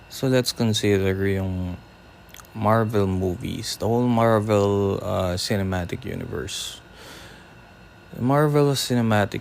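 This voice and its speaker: A man speaks in a Filipino accent. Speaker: podcaster. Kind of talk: casual podcast talk.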